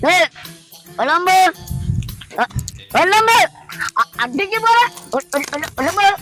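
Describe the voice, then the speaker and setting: Faint music plays in the background as someone delivers lines in a put-on character voice at a moderate pace. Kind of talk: comic overacting. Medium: comedy sketch. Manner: blustering, repetitive, stammering.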